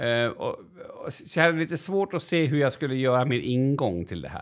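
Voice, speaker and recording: A man talks at a fairly quick pace with lively intonation. It is a plain, everyday voice, fairly high in pitch. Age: 40s. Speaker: podcast co-host. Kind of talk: casual chat.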